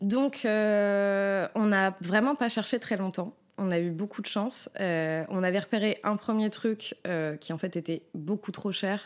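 A woman speaks at a very slow pace yet with hardly any pauses, her medium pitch showing ordinary variation. The recording is very clean with a silent background. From Paris, France. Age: 30s. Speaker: former veterinary nurse. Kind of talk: casual chat. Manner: hesitant, many fillers.

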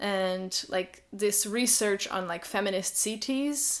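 A woman with a Portuguese accent at medium pitch, ordinary pitch variation and a very slow pace, on a very clean recording with a silent background. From Portugal. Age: 30s. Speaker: illustrator and workshop facilitator. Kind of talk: casual interview chat.

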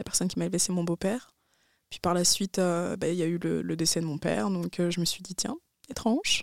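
Fairly quick delivery from a woman, the sound dry and close with no echo. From France. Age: 20s. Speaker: university student. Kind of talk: casual chat.

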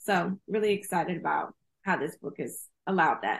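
An ordinary speaking voice with ordinary pitch variation, at a moderate pace. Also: woman. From Houston, Texas. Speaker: screenwriter and author. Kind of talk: interview.

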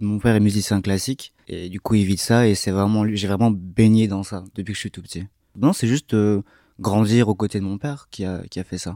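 A man talks at a moderate pace in a fairly low pitch with a dark, mellow tone, fairly even intonation and big swings in loudness. The recording is very clean, dry and close, with a silent background and no echo. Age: young. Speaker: musician. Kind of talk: interview. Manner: halting.

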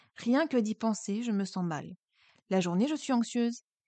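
A woman at medium pitch with a dark, mellow tone, lively intonation and a moderate pace, dry and close with no echo against a quiet background. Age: 30s. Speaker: mental health podcaster. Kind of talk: scripted narration; personal testimony.

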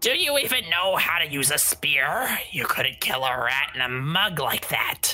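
This is a put-on character voice, gruff in sound. The pitch sits in the middle. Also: moderate pace. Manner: gruff, mocking.

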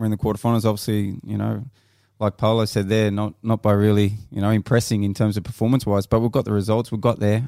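A man's dark, mellow voice in an Australian accent at a very fast pace, in a very clean recording with a silent background. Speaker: former footballer and coach. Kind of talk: casual panel chat. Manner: animated.

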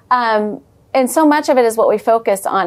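With an American accent, a woman speaks with lively intonation. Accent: slight Texan, stronger around family. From Amarillo, Texas. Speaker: church leader and women's ministry founder. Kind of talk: casual interview chat.

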